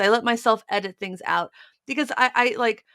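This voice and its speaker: A woman speaks at a fairly high pitch. Her voice carries vocal fry. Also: very clean recording, silent background. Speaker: guitar podcast co-host. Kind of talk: casual chat. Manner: stutters when talking to camera.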